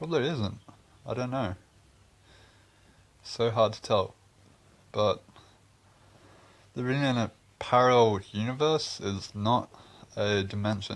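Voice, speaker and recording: A man with an Australian accent talks at a fairly slow pace in a medium pitch, showing ordinary pitch variation and long, frequent pauses. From Australia, Queensland. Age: 20s. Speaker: video blogger. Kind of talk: casual monologue vlog. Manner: rambling, hesitant.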